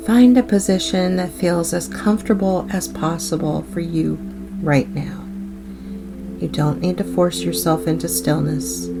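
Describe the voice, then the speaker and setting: Music plays in the background as a woman speaks at a fairly slow pace in a gentle tone. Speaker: meditation guide. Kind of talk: guided meditation. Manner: gentle, slow.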